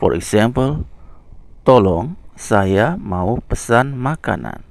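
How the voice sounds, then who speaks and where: A man with an Indonesian accent speaks at a very slow pace. His medium-pitched voice swings very widely in pitch. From Indonesia, Lombok. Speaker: language teacher. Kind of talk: tutorial. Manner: slow and clear.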